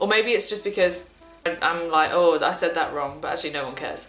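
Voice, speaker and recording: Music plays behind a woman speaking with an English accent at a fairly low pitch. She talks at a fairly quick pace, and room echo is audible. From England. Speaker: university student on year abroad, vlogger. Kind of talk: casual vlog talk. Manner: slurred words; hesitant, many fillers.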